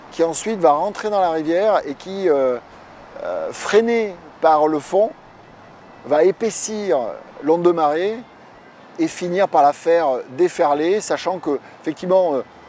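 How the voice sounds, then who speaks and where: Speech comes at a fairly slow pace with long, frequent pauses and ordinary pitch variation, over noticeable background noise. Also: man. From France, Dordogne (southwest). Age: 40s. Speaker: surfer. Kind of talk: interview. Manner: hesitant, many filler sounds.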